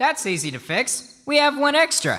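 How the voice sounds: A woman performs a cartoonish character voice, high-pitched with a bright, sharp tone and big pitch swings. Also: moderate pace.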